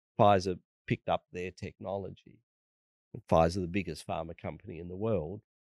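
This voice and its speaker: Speaking with an Australian accent at a fairly quick pace, a man with a very deep, low pitch uses fairly even intonation, big swings in loudness, and long, frequent pauses, all in a dry, close sound with no echo. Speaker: vaccine researcher. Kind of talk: interview.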